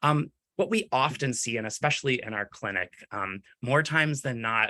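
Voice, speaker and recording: A man's bright, sharp tone carries lively intonation. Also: medium pitch for a man, dry, close sound with no echo. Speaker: clinician presenting on dyslexia. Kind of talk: webinar presentation. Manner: fast-talking; frequent fillers like um and right.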